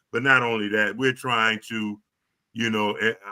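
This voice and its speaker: With an American accent, a man uses an ordinary speaking voice at a medium pitch, talking at a moderate pace with fairly even intonation. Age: 60s. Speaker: talk show host. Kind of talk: interview wrap-up.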